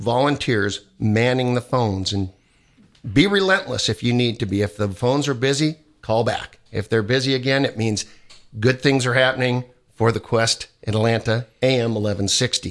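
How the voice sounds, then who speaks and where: A man's ordinary speaking voice at medium pitch, moderate pace and ordinary pitch variation. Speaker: radio co-host, Knights of Columbus member. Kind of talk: leading a prayer, radio chat. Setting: studio.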